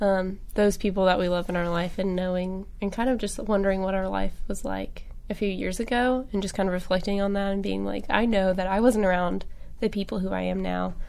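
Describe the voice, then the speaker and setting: Audible room echo surrounds a woman talking at a fairly quick pace. Her pitch is medium and her intonation fairly even. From Arkansas (Jonesboro). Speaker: podcast co-host, college student. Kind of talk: casual chat.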